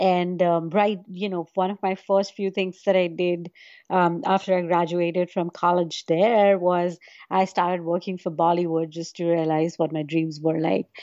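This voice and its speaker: Against a quiet background, a woman speaks at a moderate pace in a fairly low, dark, mellow tone with monotone, flat intonation. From India. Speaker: virtual reality storyteller. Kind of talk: interview conversation. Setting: remote call. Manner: hesitant, many fillers.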